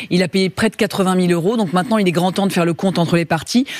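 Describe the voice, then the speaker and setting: A woman speaks with ordinary pitch variation. Her voice is dry with no echo, over a quiet background. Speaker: lawyer. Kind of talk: legal advice on TV. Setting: studio. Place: studio. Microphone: podium.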